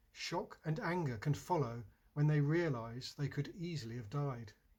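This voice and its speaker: Here a man talks at a moderate pace and a fairly high pitch. His voice is somewhat breathy. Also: very clean recording, silent background. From England. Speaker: poet. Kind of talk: poetry reading.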